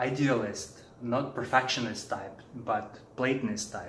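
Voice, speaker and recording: A man with a Russian accent speaks at a fairly slow pace, with audible room echo and noticeable background noise. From Russia, Siberia. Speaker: philosopher and author. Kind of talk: presentation.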